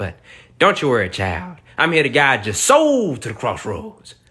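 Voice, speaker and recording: A man with a Southern US accent, fairly quick in pace and bright, sharp in tone. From US South. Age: 20s. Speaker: comedian reacting to viral videos. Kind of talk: comedic reaction commentary. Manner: animated.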